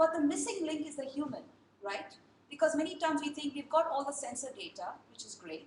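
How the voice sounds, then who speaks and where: A woman speaks at a fairly quick pace. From India. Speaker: design and technology speaker. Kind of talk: talk to a group. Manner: fast.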